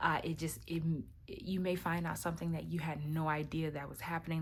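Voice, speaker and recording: A woman's somewhat breathy, very deep, low voice at a fairly quick pace, with monotone, flat intonation and audible room echo. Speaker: tarot card reader. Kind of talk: weekly tarot reading to camera. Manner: hesitant, many fillers.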